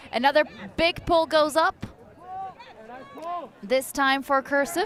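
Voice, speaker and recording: A woman talks at a very slow pace with noticeable background noise behind her. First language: not English. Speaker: sports commentator. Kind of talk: live commentary.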